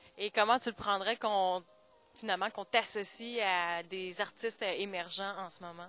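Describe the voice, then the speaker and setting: A woman at medium pitch with fairly even intonation, a moderate pace and big swings in loudness, music in the background. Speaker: TV interviewer. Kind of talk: TV interview questions.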